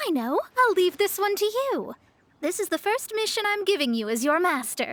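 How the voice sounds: A cartoonish character voice with a fairly bright tone, big pitch swings and a moderate pace. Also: woman, extremely high pitch for a woman.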